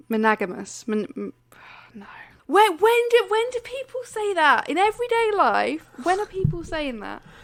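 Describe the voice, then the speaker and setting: A woman with an English accent speaks at a moderate pace in an extremely high pitch, her pitch swinging very widely and her loudness rising and falling sharply. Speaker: podcast co-host. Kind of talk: casual chat. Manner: stumbles over words.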